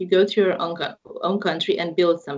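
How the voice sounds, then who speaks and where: Here a woman talks with a Romanian accent. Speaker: university representative. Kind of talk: interview. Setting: online live call.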